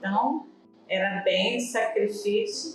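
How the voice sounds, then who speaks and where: A woman speaks in a calm tone with audible room echo. Music plays in the background. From rural interior of Brazil. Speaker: elderly interviewee sharing memories. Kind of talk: oral history testimony.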